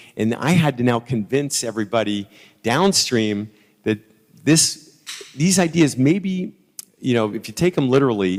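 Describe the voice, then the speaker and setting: A man with a plain, everyday voice of medium pitch, lively intonation and a moderate pace. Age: 60s. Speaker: sales executive. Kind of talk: conference talk. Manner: conversational, with repeated false starts.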